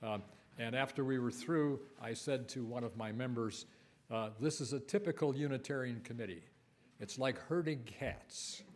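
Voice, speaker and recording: A man speaks at medium pitch and a moderate pace, with ordinary pitch variation. Audible room echo surrounds his voice. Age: 80s+. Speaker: lay worship leader. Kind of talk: worship service talk. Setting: church. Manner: halting.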